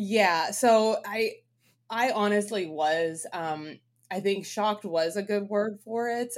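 In a very clean recording with a silent background, an ordinary speaking voice with a Canadian accent moves at a fairly slow pace with ordinary pitch variation. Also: woman. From Canadian prairies, Winnipeg, Manitoba. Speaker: brewing consultant. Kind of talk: interview.

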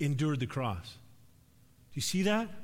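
Somewhat breathy and with lively intonation, a man speaks at a fairly high pitch in a very clean recording with a silent background. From Alberta, Canada (near Edmonton). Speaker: preacher. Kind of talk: sermon. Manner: casual, conversational.

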